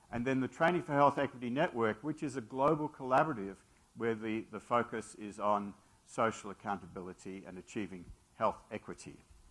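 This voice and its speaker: Here a man speaks at a fairly quick pace with lively intonation. His loudness swings widely. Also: medium pitch for a man. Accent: Australian. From Australia. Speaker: physician and medical school leader. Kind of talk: lecture. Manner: halting, many fillers.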